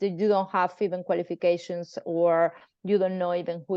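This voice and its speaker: Speaking at a fairly quick pace, a woman with a Spanish accent uses monotone, flat intonation. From Spain. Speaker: pharmacist. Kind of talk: online presentation and interview. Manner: halting.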